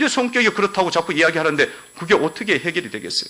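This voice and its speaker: A man's very fast speech with a bright, sharp tone and lively intonation. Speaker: pastor. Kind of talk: sermon. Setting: church. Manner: animated.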